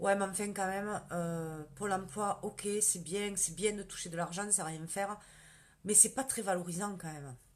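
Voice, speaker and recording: In a strong southern French accent, a woman with a medium pitch talks at a fairly slow pace. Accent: strong southern French, rural. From southern France, countryside. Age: 40s. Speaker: direct sales consultant, former nurse manager. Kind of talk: live stream Q&A sales pitch. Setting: Facebook live video. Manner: casual, many fillers.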